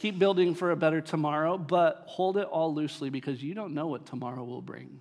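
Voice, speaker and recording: This man has an ordinary speaking voice, talking at a fairly quick pace with hardly any pauses, ordinary pitch variation and big swings in loudness. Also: fairly high pitch for a man. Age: 30s. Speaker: pastor. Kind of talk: sermon. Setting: church.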